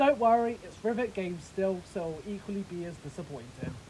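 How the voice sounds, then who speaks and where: A woman keeps a moderate pace while noticeable background noise fills the recording. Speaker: train simulator game reviewer. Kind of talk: video game review narration.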